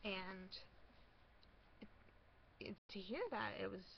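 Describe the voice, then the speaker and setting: Speaking very slowly, a woman with an American accent uses vocal fry. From Michigan. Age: 20s. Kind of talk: casual talk to camera.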